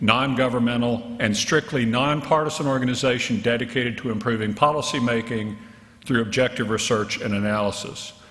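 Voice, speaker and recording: Amid noticeable background noise and audible room echo, a man with an American accent speaks at a medium pitch with fairly even intonation. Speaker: physician and health policy researcher. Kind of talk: keynote lecture. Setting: conference stage with audience.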